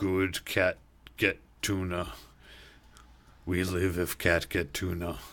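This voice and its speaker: In a raspy, put-on character voice, the speaker goes at a fairly slow pace with long, frequent pauses on a very clean recording with a silent background. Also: man, very deep, low pitch for a man. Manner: crafty, speaking in broken English.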